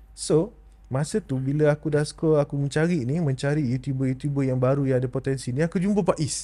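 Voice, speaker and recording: Somewhat breathy and dark, mellow in tone, the man talks at a fairly quick pace with a fairly high pitch and ordinary pitch variation. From Malaysia. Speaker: podcast host. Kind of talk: interview. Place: studio. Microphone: studio mic.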